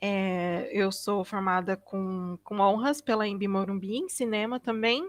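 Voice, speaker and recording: A woman speaks in a normal speaking voice at a fairly slow pace with ordinary pitch variation. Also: medium pitch for a woman, hardly any pauses. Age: 20s. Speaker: filmmaker and video editor. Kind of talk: online panel debate.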